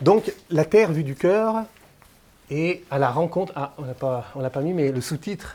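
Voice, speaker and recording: A man's fairly high voice, dark and mellow in tone, with lively intonation. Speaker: lecturer. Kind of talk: lecture. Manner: hesitant, many filler sounds.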